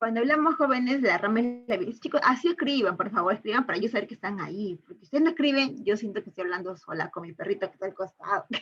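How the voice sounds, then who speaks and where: Delivered at a fairly quick pace, the speech has very wide pitch swings. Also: woman. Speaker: teacher. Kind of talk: online lecture. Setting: online class. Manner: fast.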